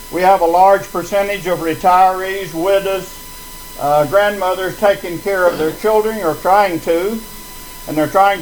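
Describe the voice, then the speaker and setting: Noticeable background noise sits behind a man speaking at a moderate pace in a high voice. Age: 80s+. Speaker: resident speaking at a town hall. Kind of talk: public meeting speech. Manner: halting, many fillers.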